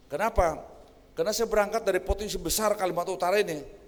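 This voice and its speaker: A man's voice with vocal fry. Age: 60s. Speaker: senior regional government official. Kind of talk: official speech. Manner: informal, conversational.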